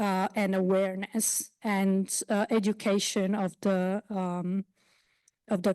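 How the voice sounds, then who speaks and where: A woman with an Italian accent speaks very slowly in a dark, mellow tone at a medium pitch, her intonation flat and monotone. The sound is dry and close with no echo, over a quiet background. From Italy. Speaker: basic researcher. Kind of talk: panel discussion. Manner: halting.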